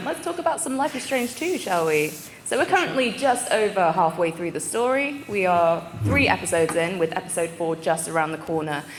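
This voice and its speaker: With a British accent and an animated tone, a woman speaks fairly quickly in a fairly low pitch with very wide pitch swings and hardly any pauses, over noticeable background noise and audible room echo. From UK. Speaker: panel moderator. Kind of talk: convention panel hosting. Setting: stage with audience.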